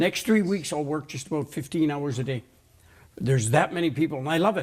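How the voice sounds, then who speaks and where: The speaker uses a normal speaking voice with ordinary pitch variation. The recording is very clean, with a silent background. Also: man, fairly high pitch for a man, fairly quick pace. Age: 60s. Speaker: natural health show host. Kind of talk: casual interview.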